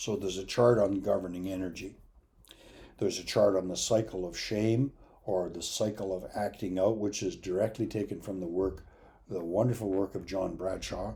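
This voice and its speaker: At a moderate pace, a man with a fairly low, somewhat breathy voice and a dark, mellow tone keeps fairly even intonation amid audible room echo. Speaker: addiction recovery educator. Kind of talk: lecture.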